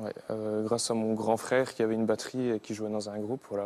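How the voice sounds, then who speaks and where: A man speaks at a moderate pace with a Franche-Comté accent, his tone dark and mellow. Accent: pronounced Haut-Doubs regional French. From Haut-Doubs, Franche-Comté, eastern France. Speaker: singer, former cheesemaker. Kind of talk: TV talk show interview answer. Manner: hesitant, casual.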